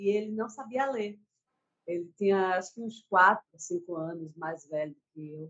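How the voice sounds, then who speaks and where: Lively intonation runs through a woman's normal speaking voice. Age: 40s. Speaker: writer and poet. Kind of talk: casual chat. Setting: video call.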